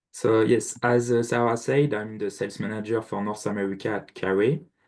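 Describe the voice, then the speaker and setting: Against a quiet background, a man with a French accent talks at a fairly quick pace with fairly even intonation. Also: fairly low pitch for a man. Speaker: equipment sales manager. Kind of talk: product presentation. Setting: video call.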